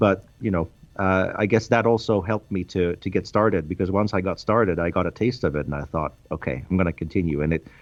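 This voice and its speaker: A man in a Swedish accent at a moderate pace, with ordinary pitch variation. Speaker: game developer. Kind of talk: interview.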